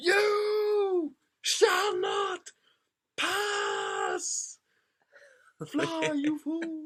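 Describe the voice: It is a put-on character voice pitched extremely high.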